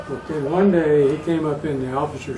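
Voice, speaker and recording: Noticeable background noise sits behind a man speaking at a fairly slow pace. His voice is fairly high for a man, with ordinary pitch variation. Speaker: war veteran. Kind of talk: interview answer.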